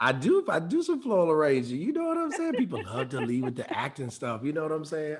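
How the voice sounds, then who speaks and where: Over noticeable background noise, a man with an American accent talks at a very fast pace with hardly any pauses. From Detroit. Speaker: actor and voice actor. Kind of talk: interview answer.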